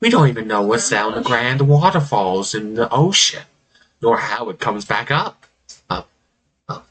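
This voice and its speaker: A man puts on a character voice at a medium pitch. He speaks at a moderate pace with long, frequent pauses. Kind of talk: villainous monologue. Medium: actual play. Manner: theatrical, mocking, self-amused.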